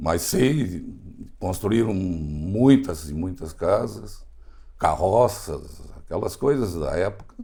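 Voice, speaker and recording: The voice has a dark, mellow tone with vocal fry and very wide pitch swings. It moves at a very slow pace, with audible room echo. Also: man, very deep, low pitch for a man. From southern Brazil, Rio Grande do Sul (Encantado). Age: 70s. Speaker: foundation engineer. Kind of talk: interview.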